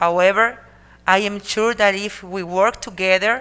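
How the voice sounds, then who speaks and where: Bright and sharp in tone, this voice moves at a fairly slow pace with fairly even intonation. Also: woman. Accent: Spanish. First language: Spanish. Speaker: city mayor. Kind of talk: formal speech. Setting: council meeting. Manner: halting.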